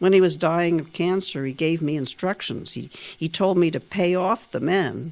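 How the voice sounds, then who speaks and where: A woman with an ordinary speaking voice talks at a moderate pace and a fairly low pitch, recorded very cleanly against a silent background. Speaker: writer. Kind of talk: reading own newspaper story aloud.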